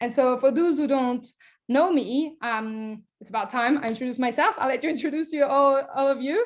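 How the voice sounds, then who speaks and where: In a French accent, a woman speaks at a high pitch. Her pace is moderate and her pitch variation ordinary. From France. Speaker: nutrition coach. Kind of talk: online workshop presentation. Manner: animated.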